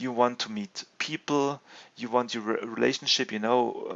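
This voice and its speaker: A man with a non-native accent. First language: not English. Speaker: gaming video host. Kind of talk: video game commentary and discussion. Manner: halting, many fillers and restarts.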